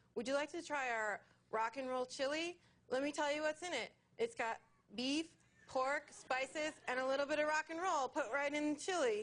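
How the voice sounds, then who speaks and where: A put-on, sing-song character voice, female-sounding and high-pitched, at a moderate pace. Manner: cutesy, perky, sing-song.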